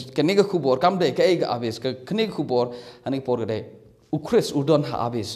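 A fairly high-pitched man at a fairly quick pace, lively intonation, quiet background. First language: Khasi (speaking Malay). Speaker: bible teacher. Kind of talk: bible teaching. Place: home room. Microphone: phone near.

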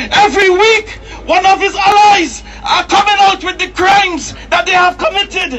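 An extremely high-pitched man's voice at a moderate pace, with fairly even intonation, under loud background noise. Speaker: protest speaker and campaigner. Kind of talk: impassioned open-air rally speech, hammering short repeated slogans. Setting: outdoors at a street protest addressing crowds. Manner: forceful and declamatory, repeating lines for crowd emphasis; occasionally stumbling and repeating words mid-flow. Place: street.

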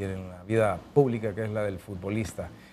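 With a Honduran accent, a man talks over light background noise. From Honduras. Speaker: sports TV host. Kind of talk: interview. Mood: warm, friendly. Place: studio. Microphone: lapel.

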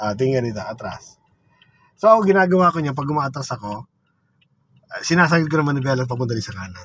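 A man's voice with big swings in loudness, very wide pitch swings and long, frequent pauses, in a dry sound with no echo. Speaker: driving instructor. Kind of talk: instruction. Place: car. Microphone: phone near.

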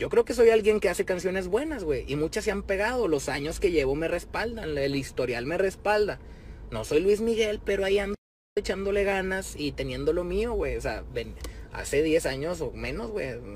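Someone speaks in an animated tone with a Mexican accent at a moderate pace. The sound is dry with no echo, over light background noise. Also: man. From Mexico. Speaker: rapper. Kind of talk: direct-to-camera video message. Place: car. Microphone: phone near.

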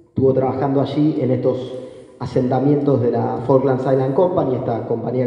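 A man speaks at a medium pitch. The room echo is audible, and there is noticeable background noise. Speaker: historian and doctoral researcher. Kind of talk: academic talk.

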